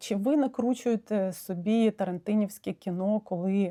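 With a Russian accent and a dark, mellow tone, a woman speaks at a moderate pace in a very clean, dry, close recording with a silent background and no echo. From Ukraine. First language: Russian (speaking Ukrainian). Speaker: psychotherapist. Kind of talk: video monologue. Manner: hesitant, with frequent fillers.

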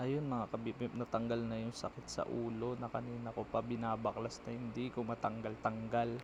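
The delivery is flat and monotone, with a somewhat breathy quality. It moves at a fairly quick pace with hardly any pauses. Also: man, medium pitch for a man. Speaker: motorcycle ride-hailing driver and vlogger. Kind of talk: vlog voiceover narration. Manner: casual, fast.

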